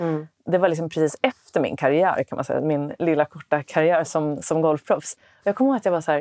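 With a very deep, low pitch, a woman talks at a fairly quick pace and ordinary pitch variation, in a dry, close sound with no echo over a quiet background. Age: 40s. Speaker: podcast host, former golf pro. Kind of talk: casual interview chat; scripted podcast outro. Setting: basement yoga studio.

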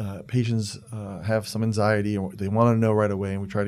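This man's voice sits fairly low and moves at a fairly quick pace. His intonation stays fairly even. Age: 40s. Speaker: pulmonologist podcast host. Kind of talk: casual interview. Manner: hesitant, many fillers.

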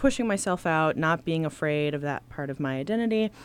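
On a very clean recording with a silent background, a woman with a very deep, low pitch speaks at a fairly quick pace with ordinary pitch variation. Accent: American. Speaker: social worker and sex educator. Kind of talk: interview. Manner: halting, many fillers.

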